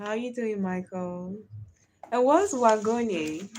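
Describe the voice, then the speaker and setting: A woman with a Nigerian accent speaks at a very slow pace in a dark, mellow tone. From Nigeria (Delta/Bayelsa area). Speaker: live streamer. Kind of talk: casual live stream chat. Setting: live stream.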